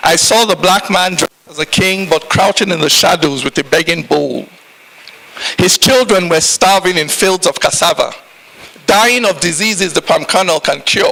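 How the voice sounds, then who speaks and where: The speaker is a man with a high pitch and ordinary pitch variation. Noticeable background noise can be heard. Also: moderate pace. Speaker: spoken word poet. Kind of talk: spoken word poetry performance.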